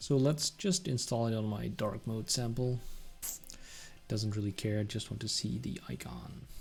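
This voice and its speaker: Pausing long and often, a man talks at a very slow pace with lively intonation. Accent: Dutch. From Netherlands. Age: 30s. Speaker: software developer streamer. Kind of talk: live coding stream. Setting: live stream. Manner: animated.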